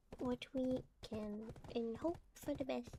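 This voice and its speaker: Very slow speech from a high-pitched woman, with noticeable background noise. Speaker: streamer. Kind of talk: casual chat. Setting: live stream. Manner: chatty.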